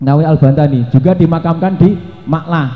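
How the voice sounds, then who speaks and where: A man with a fairly high-pitched voice speaks with a Javanese accent. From Java, Indonesia. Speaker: Islamic preacher. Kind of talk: religious sermon.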